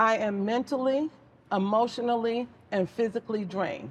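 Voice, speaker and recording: Against noticeable background noise, a woman talks at a moderate pace with ordinary pitch variation. Her pitch is fairly high. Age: 60s. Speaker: wife on a court show. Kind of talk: court show testimony.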